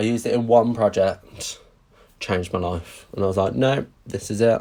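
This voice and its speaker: A man speaks with a Brummie accent. His tone is dark and mellow. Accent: Birmingham (Brummy). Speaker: craft demonstrator. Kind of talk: live craft tutorial. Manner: chatty, animated.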